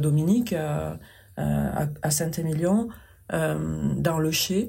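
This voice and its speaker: A woman's very deep, low-pitched voice with a southwestern French accent, a dark, mellow tone, fairly even intonation and audible room echo. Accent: southwestern French accent, still present. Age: 50s. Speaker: paper sculptor and craftswoman. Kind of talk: interview conversation. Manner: gentle, soft.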